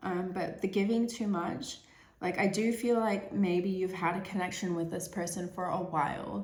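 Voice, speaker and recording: Somewhat breathy, a woman speaks at a moderate pace with ordinary pitch variation and audible room echo. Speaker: tarot reader. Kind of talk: tarot reading monologue. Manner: hesitant, many fillers and repeats.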